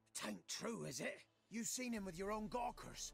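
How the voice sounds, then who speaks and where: Speaking at a moderate pace, a man does a put-on character voice that is high and raspy. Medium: video game.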